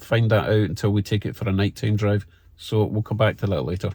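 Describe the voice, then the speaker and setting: A man with a Scottish accent has a dark, mellow tone that is somewhat breathy. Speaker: car hobbyist YouTuber. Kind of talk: product review tutorial. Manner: casual, conversational.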